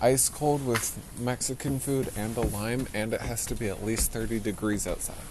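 Noticeable background noise sits behind a man at a medium pitch. He talks at a moderate pace with fairly even intonation. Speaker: podcast co-host. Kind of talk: casual chat, joking. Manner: joking, playful.

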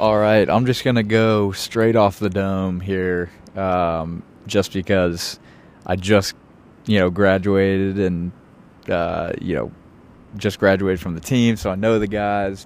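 Speaking at a fairly slow pace with fairly even intonation, a man with an American accent has a fairly low pitch and an unremarkable speaking voice. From Richmond, Virginia. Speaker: podcast host and former college basketball player. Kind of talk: casual solo podcast monologue. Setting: outdoors on a rooftop. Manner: casual with many filler words.

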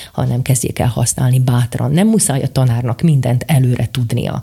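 Fairly quickly, a woman speaks in a very deep, low pitch, her tone dark, mellow and somewhat breathy. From eastern Slovakia (Bodrogköz). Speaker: teacher and robotics coach. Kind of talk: interview.

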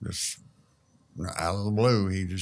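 Very deep and low in pitch, a man speaks with a Southern US accent and ordinary pitch variation. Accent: US South. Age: 60s. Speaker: construction worker. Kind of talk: testimony.

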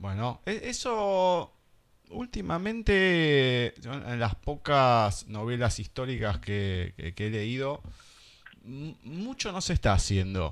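Speaking very slowly in an Argentine accent, a man makes very wide pitch swings on a very clean recording with a silent background. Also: medium pitch for a man. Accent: Argentine Spanish (voseo). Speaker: radio host. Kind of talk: radio interview. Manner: halting.

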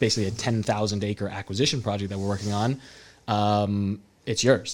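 On a very clean recording with a silent background, a man with a West Coast American accent speaks fairly quickly in a fairly low pitch. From California, Salinas. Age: 30s. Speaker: real estate entrepreneur. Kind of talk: casual chat. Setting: studio.

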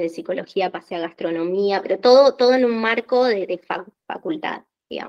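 Moderate pace, ordinary pitch variation, with a Rioplatense accent. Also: woman. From Argentina. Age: 30s. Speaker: office worker and small business owner. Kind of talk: interview.

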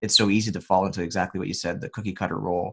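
On a very clean recording with a silent background, a man speaks very fast in a very deep, low pitch with vocal fry. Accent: American. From United States. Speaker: podcast host. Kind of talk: casual interview chat about faith.

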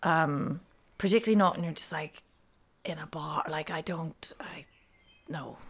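Speaking at a moderate pace, a woman with a fairly low pitch and ordinary pitch variation leaves long, frequent pauses. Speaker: podcast host. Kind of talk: casual chat. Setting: studio. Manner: loud.

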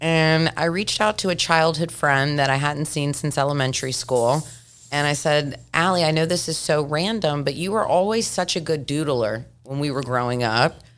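A woman's very deep, low pitch with ordinary pitch variation. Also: moderate pace. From Tennessee. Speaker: children's author and motivational speaker. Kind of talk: interview.

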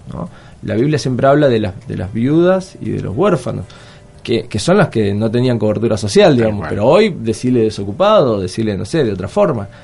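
Over noticeable background noise, a man of medium pitch talks at a fairly quick pace with lively intonation. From southern Argentina (Patagonia). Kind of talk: radio interview. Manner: halting, many fillers.

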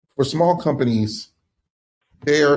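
This man has an American accent and a somewhat breathy voice with ordinary pitch variation. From US Northeast, Philadelphia. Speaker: tech company founder and former CEO. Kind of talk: podcast interview.

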